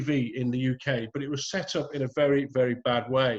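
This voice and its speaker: Somewhat breathy, a man with a fairly high pitch talks at a moderate pace with a northern English accent. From northern England, Bolton. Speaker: retired police detective. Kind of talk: talk with slides on video call. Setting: video call. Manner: hesitant, many fillers.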